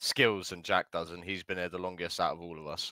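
A man speaks with a British accent in a bright, sharp tone and ordinary pitch variation. The sound is dry with no echo, over a quiet background. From Britain. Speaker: gamer doing stand-up comedy in a roleplay game. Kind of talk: casual stand-up and roast in a game voice chat. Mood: mocking, comedic roast. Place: home room.

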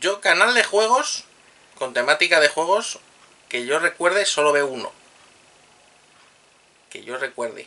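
A man talks at a fairly high pitch with a bright, sharp tone and lively intonation. His pace is fairly slow, with long, frequent pauses.

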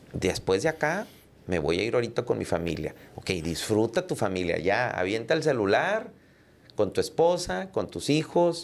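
A man at medium pitch with very wide pitch swings and a moderate pace. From Texas border, Rio Grande Valley; Texas. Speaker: entrepreneur and podcaster; podcaster. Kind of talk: casual interview chat. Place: studio. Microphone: studio mic.

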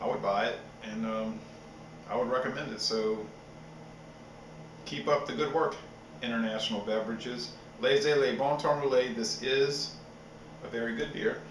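A man at a moderate pace, with ordinary pitch variation and long, frequent pauses, amid audible room echo and light background noise. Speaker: beer reviewer. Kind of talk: casual review chat. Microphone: webcam.

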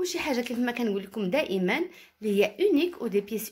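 Pitch swings very widely as the speaker moves at a fairly quick pace. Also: woman. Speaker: caftan designer and seller. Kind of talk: product showcase.

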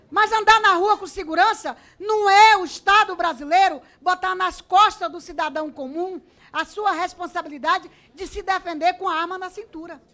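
A woman's raised, projected voice sits at an extremely high pitch with a bright, sharp tone, moving at a moderate pace with ordinary pitch variation. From Acre, Brazil. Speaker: politician. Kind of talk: parliamentary committee speech. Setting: committee chamber. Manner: formal. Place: hall. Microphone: podium.

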